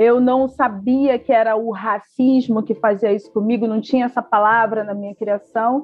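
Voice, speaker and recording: A woman's fairly high voice in a Rio de Janeiro accent, at a moderate pace with fairly even intonation and hardly any pauses. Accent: Carioca Brazilian Portuguese. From Rio de Janeiro, Baixada Fluminense. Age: 30s. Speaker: historian and toy store founder. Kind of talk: interview.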